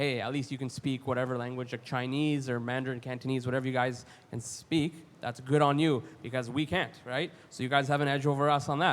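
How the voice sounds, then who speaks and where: With a Canadian accent, a man speaks fairly quickly at a medium pitch. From Canada, Ottawa. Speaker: college graduate panelist. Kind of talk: panel discussion. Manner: animated.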